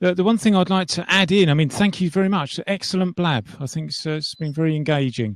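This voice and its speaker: Speaking very fast with hardly any pauses, a man with a high voice talks in an English accent. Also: ordinary pitch variation. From England. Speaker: 3D animator. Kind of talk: casual chat.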